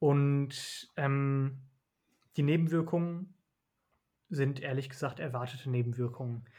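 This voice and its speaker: The voice has a dark, mellow tone and fairly even intonation, moving at a very slow pace with long, frequent pauses. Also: man, fairly high pitch for a man. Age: 20s. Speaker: doctor. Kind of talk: casual chat.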